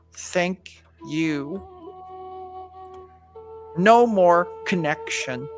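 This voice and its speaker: A put-on character voice at a middle pitch sounds robotic. Faint music plays in the background. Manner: strange, little.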